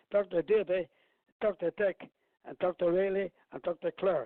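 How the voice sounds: A man talks at a moderate pace in a high voice with vocal fry. The sound is dry and close with no echo.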